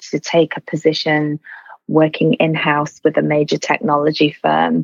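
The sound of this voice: A woman's low-pitched voice with vocal fry, at a moderate pace, in a dry, close sound with no echo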